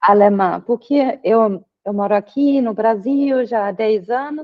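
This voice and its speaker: With a German accent, a woman with a fairly high pitch talks at a very slow pace using lively intonation. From Germany. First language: German (speaking Portuguese). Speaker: psychoanalysis student presenting final paper. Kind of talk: academic presentation and discussion. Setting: video call. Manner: hesitant with fillers.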